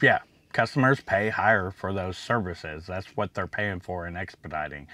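In a dry sound with no echo, a man speaks with a bright, sharp tone. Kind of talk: casual vlog chat.

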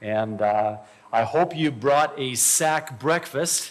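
Ordinary pitch movement in a man's voice. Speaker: church host. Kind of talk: announcements then spoken prayer. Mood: light, joking, then reverent. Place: church. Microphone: podium.

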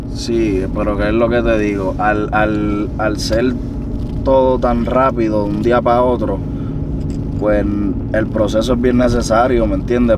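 Loud noise fills the background as a man talks at an average speed. The sound itself is dry and echo-free. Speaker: guest. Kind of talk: interview answer. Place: car. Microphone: camera far.

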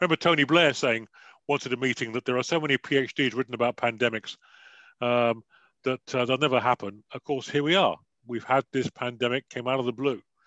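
A man with a British accent at a fairly quick pace, medium pitch and fairly even intonation, bright and sharp in tone, the sound dry with no echo over a quiet background. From United Kingdom. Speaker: security advisor and author; guest lecturer. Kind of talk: panel discussion. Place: home room. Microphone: headset.

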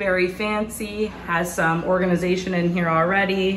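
Amid light background noise and audible room echo, a woman speaks at a very slow pace. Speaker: apartment tour narrator. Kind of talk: casual vlog chat. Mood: excited, upbeat. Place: home room. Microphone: phone near.

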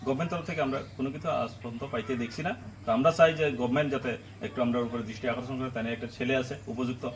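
The man's pitch is medium, with ordinary variation. There's noticeable noise in the background. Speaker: special police officer. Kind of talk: interview statement. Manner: halting.

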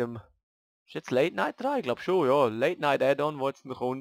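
This is a man's voice. He speaks in a Graubünden accent. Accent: Swiss German, Graubünden dialect. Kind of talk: casual let's play commentary.

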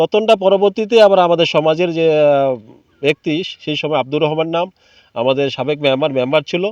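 A man speaks in a normal speaking voice, pitched fairly high for a man. The sound is dry and close with no echo, and his pitch varies in an ordinary way. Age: 50s. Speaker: local resident protester. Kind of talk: protest speech to reporters.

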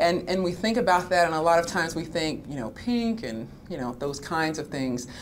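Over light background noise, a woman talks at a fairly quick pace in a fairly low voice with lively intonation. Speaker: health advocate; panelist. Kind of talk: panel discussion. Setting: stage with audience. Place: meeting room. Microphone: podium.

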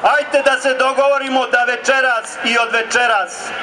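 A man with a Serbian accent speaks in a raised, projected voice at a fairly slow pace. His intonation is fairly even, and there is noticeable background noise. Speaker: rally speaker, right-wing movement leader. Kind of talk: rally speech, fiery nationalist oratory to a crowd. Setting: outdoor protest rally, crowd. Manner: loud, rousing, emphatic. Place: street.

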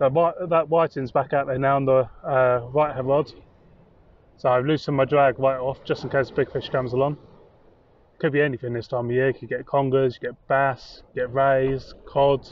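At a moderate pace, a man speaks in a monotone, flat intonation with a dry sound with no echo. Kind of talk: casual vlog chat. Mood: cheerful, wry. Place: beach. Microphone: phone near.

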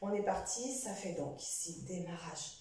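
A woman is speaking. Strong room echo fills the recording. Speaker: fitness instructor. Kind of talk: exercise class instruction. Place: home room.

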